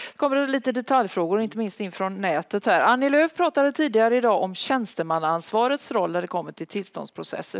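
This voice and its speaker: A woman with a plain, everyday voice speaks at a fairly quick pace with hardly any pauses. Her pitch is fairly high, her intonation lively, and the background quiet. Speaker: event moderator. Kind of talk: event moderation. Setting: stage with audience. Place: stage. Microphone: headset.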